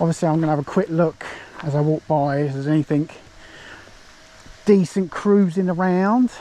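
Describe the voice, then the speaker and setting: Over noticeable background noise, a man with an English accent speaks at a moderate pace, his pitch fairly high and his intonation fairly even. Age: 40s. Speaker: fishing vlogger. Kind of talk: casual vlog narration. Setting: outdoors. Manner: lowered voice near the water.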